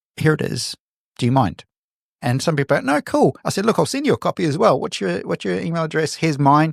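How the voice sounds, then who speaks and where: Speaking very fast in a New Zealand accent, a man uses a fairly high pitch, very wide pitch swings and vocal fry. The recording is very clean, with a silent background and a dry, close sound with no echo. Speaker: photographer. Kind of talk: interview conversation. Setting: podcast.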